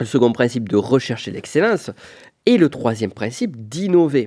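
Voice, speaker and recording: A man with a strong southwest French accent speaks at medium pitch and a moderate pace, his tone dark and mellow and his intonation lively, on a very clean recording with a silent background. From Pyrenees, southwest France. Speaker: business coach, podcast host. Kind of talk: solo podcast monologue. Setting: on location in Florence. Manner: casual, conversational.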